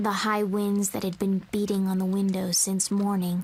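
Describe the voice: What you hear is plain reading aloud.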